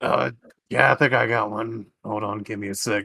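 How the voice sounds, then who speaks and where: A man puts on a raspy character voice, fairly low in pitch, and speaks at a moderate pace. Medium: actual play. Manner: curt, casual.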